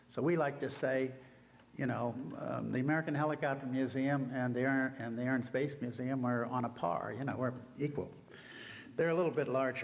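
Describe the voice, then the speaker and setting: A man at medium pitch, fairly quick and fairly even in intonation, with audible room echo. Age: 80s+. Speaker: helicopter museum founder. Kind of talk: speech to conference audience. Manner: halting, many fillers.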